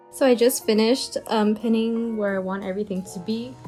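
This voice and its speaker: With music playing in the background, a woman speaks at a medium pitch. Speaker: DIY costume maker / vlogger. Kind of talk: DIY tutorial voiceover. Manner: casual.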